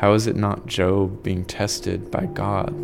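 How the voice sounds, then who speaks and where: Amid noticeable background noise and audible room echo, a man speaks fairly slowly at a fairly low pitch with fairly even intonation. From Arkansas, Mississippi Delta. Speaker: memoir author. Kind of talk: interview about personal past.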